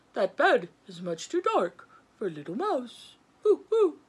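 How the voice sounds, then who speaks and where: A put-on character voice at a fairly slow pace, with very wide pitch swings. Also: woman, high pitch for a woman. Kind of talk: bedtime story voice. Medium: read story. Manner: punctuates speech with hooting.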